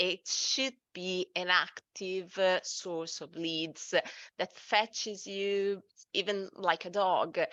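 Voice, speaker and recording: Speaking very slowly with an Italian accent, a woman uses a bright, sharp tone at a medium pitch with ordinary pitch variation, recorded dry and close with no echo against a quiet background. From Italy. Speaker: SEO agency director. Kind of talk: webinar presentation.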